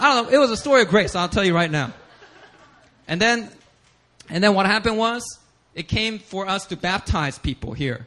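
The voice is raised and projected, with an animated tone and lively intonation. It moves at a fairly quick pace, broken by long, frequent pauses. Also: man, high pitch for a man. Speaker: pastor. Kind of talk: sermon.

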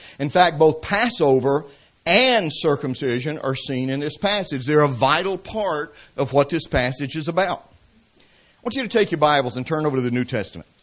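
With a Southern US accent, a man talks at a moderate pace, his fairly high voice carrying lively intonation. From Atlanta, Georgia, US South. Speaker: preacher and seminary professor. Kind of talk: sermon. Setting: church. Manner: humorous, conversational.

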